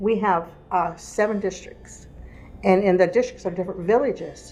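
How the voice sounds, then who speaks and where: Over music in the background, a woman speaks in an American accent at medium pitch and a moderate pace, with fairly even intonation. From Gila River Indian Community, Arizona (Pima). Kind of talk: interview, personal history.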